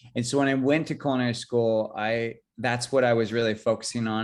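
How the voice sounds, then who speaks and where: Against a quiet background, a medium-pitched man with a Californian accent speaks at a very fast pace in a monotone, flat intonation. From California, San Jose. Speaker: chef. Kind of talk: interview. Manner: halting, many fillers.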